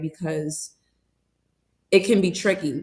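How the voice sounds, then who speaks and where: A woman's medium-pitched voice with a New York accent. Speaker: webinar host and entrepreneur. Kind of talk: webinar interview.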